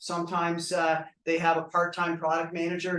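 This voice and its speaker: A loud man's voice with a high pitch. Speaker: venue sponsor representative. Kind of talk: welcome speech. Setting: live event with audience.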